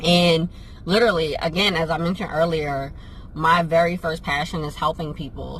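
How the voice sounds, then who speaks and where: A woman with an American accent speaks at a fairly low pitch, her voice somewhat breathy. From New Jersey and Pennsylvania. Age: 30s. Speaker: vlogger and travel business owner. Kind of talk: casual Q&A vlog.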